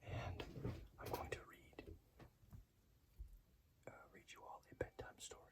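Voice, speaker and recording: A fairly slow whisper broken by long, frequent pauses, with noticeable background noise. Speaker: ASMR reader. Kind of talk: casual talk to camera. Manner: whispered.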